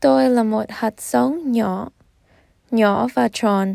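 Recorded very cleanly against a silent background, a woman with a dark, mellow tone speaks very slowly. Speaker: storytime reader. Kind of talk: children's storytime reading with movement.

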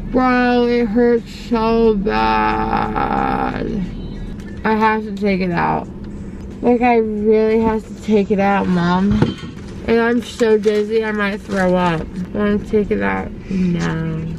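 With music in the background, a woman speaks very slowly in a dry sound with no echo. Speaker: vlogger. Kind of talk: casual vlog chat. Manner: groggy, pained, woozy after anesthesia.

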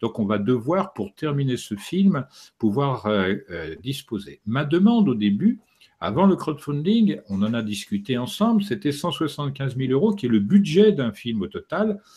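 This man's pitch swings very widely as he talks fairly slowly in a somewhat breathy voice. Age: 60s. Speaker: documentary filmmaker and author; interviewee. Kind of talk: interview. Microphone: studio mic.

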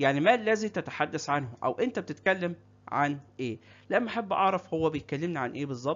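A man speaks with an Egyptian accent. His fairly high pitch rises and falls with lively intonation. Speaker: English teacher. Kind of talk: tutorial. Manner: slow, repetitive drilling of phrases.

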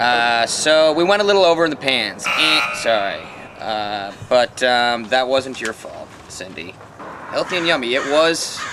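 Noticeable background noise runs under a man speaking at a fairly slow pace. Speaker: web show host. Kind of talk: casual review commentary. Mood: jokey, relaxed. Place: garden. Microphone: camera far.

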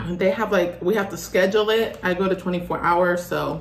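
This is a woman's voice. Audible room echo surrounds it. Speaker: food vlogger. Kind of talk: casual vlog chat. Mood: relaxed, friendly. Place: home room. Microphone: phone near.

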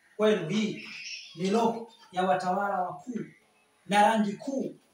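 Speech at a moderate pace with ordinary pitch variation comes through light background noise and audible room echo. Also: man. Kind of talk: promotional talk to camera. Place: classroom.

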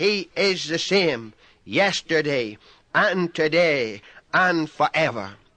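In a raised, projected voice with a bright, sharp tone, the speaker goes at a very slow pace with ordinary pitch variation, and the sound is dry and close with no echo. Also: man. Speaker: pastor, preacher. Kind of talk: sermon, radio broadcast preaching.

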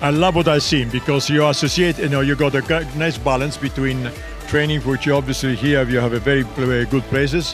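Clear music sounds in the background as a man speaks with fairly even intonation, the sound dry with no echo. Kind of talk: interview answer. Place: street. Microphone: handheld.

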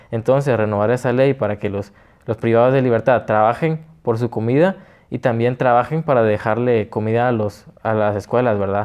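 A man at a moderate pace with ordinary pitch variation, over a quiet background. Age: 20s. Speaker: political candidate; candidate. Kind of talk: interview. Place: studio. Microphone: lapel.

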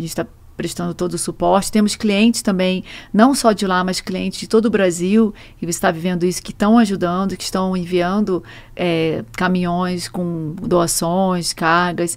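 Her medium pitch showing ordinary variation, a woman talks at a moderate pace. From Brazil, Rio de Janeiro. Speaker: truck rental executive; guest. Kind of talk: interview. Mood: calm, explanatory. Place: studio. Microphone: studio mic.

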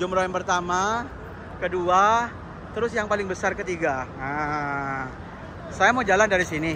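At a fairly slow pace with long, frequent pauses, a man speaks at a high pitch with ordinary pitch variation, his dry, echo-free sound set against noticeable background noise. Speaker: vlogger. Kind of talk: travel vlog. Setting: outdoors. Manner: animated. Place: street. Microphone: phone near.

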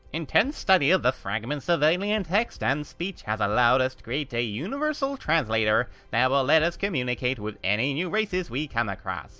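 A man puts on a robotic character voice, fairly high-pitched and at a fairly quick pace, with faint music in the background. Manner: robotic, mechanical speech.

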